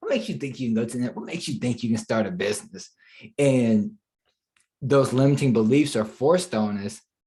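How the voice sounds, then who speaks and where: A man's somewhat breathy, dark, mellow voice with an American accent, lively intonation and a fairly quick pace. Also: medium pitch for a man. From Charlotte, North Carolina. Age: 20s. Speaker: digital marketing entrepreneur. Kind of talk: podcast interview answer.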